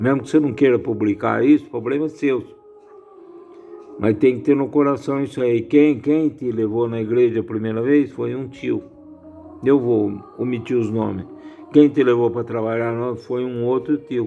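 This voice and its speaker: With music behind him, a man speaks at medium pitch, leaving long and frequent pauses. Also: moderate pace. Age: 70s. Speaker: lay religious commentator. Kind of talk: informal bible reflection. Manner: casual, repetitive.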